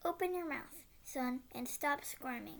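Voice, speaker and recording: Putting on a character voice, a woman speaks fairly slowly at a high pitch with ordinary pitch variation. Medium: read story. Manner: low and sneering.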